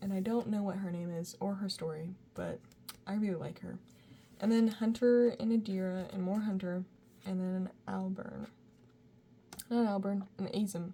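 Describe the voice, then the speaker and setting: A woman at medium pitch mumbles at a moderate pace with long, frequent pauses, her dark, mellow voice somewhat breathy and her intonation fairly even. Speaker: art student and sketchbook youtuber. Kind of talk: casual sketchbook tour talk. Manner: mumbling; casual, lots of fillers.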